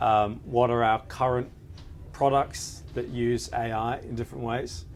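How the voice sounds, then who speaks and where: Over noticeable background noise, a man speaks at a fairly slow pace. His pitch is medium, with ordinary variation. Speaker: lawyer. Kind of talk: panel interview. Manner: halting, many fillers.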